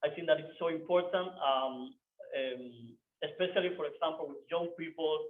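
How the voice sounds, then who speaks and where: The speaker has a non-native accent and talks at a moderate pace. Loudness swings widely while pitch varies in an ordinary way. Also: man, high pitch for a man. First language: not English. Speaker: software developer, meetup speaker. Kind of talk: meetup talk. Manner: halting.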